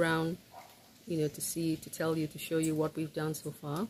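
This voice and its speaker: Over light background noise, a woman talks in a fairly low, somewhat breathy voice. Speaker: home builder vlogger. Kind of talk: casual vlog chat. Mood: pleased, relaxed. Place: home room. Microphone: phone near.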